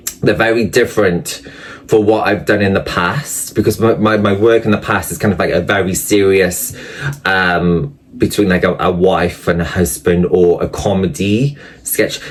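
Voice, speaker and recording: Noticeable background noise sits behind a man with a Welsh accent who speaks at a fairly low pitch and a moderate pace with ordinary pitch variation. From Wales. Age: 30s. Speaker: actor and online creator. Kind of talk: interview. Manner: hesitant, many fillers.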